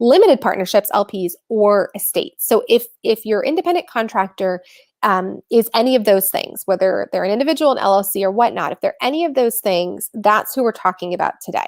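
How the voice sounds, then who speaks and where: Recorded dry and close with no echo, a woman talks at a fairly quick pace and a fairly high pitch, her voice making very wide pitch swings. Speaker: tax educator. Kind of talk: workshop training. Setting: online webinar, off camera. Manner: fast.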